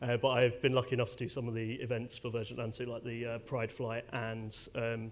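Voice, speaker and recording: Speaking fairly quickly with a British accent, a man keeps a medium pitch and a flat, monotone intonation. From UK. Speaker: airline data technology lead. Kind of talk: conference presentation. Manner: casual, many fillers.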